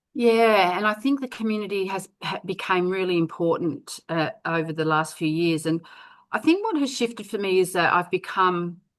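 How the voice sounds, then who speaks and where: With ordinary pitch variation, an unremarkable speaking voice talks at a moderate pace. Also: woman, medium pitch for a woman. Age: 60s. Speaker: network marketer. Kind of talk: interview answer.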